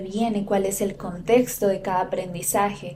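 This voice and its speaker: Over noticeable background noise and audible room echo, a woman speaks at a fairly high pitch with fairly even intonation. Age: 20s. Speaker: podcast host and yoga teacher. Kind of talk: solo podcast monologue.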